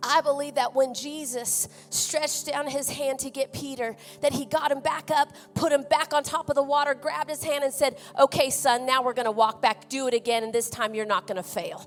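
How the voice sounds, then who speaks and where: Over music in the background, a woman speaks with an Oklahoma accent at a high pitch. Her pace is fairly quick and her intonation fairly even. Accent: Oklahoma twang. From California. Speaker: missionary. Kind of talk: sermon. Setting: church. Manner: halting.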